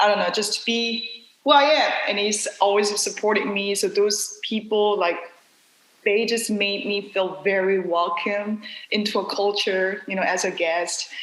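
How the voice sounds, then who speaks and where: A woman speaks at a fairly slow pace in a medium pitch with fairly even intonation. Audible room echo and noticeable background noise surround her voice. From South Korea. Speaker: dancer and dance company director. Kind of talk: podcast interview.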